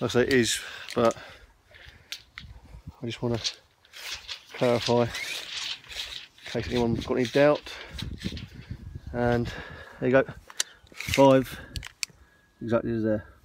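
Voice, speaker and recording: The speaker pauses often and at length, with a monotone, flat intonation. Noticeable background noise sits under a dry sound with no echo. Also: man, moderate pace. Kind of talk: casual vlog chat. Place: garden. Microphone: phone near.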